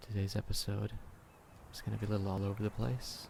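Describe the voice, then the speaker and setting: A man speaks in a fairly low pitch with a dark, mellow tone. His voice is somewhat breathy. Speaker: ASMR creator. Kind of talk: ASMR video. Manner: whispered.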